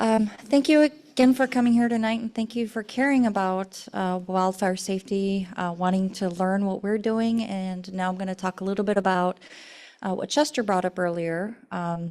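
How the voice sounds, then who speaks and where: Soft-spoken and at medium pitch, a woman talks at a moderate pace with ordinary pitch variation on a very clean recording with a silent background. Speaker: utility company presenter. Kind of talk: public presentation. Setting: community forum with audience.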